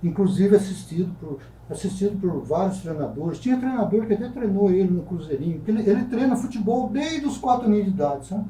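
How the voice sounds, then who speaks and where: A man speaks at a very fast pace with hardly any pauses, his high-pitched voice carrying lively intonation. Noticeable background noise and audible room echo fill the recording. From Brazil, Taubaté (São Paulo state). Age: 60s. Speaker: writer. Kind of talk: talk show interview. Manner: halting.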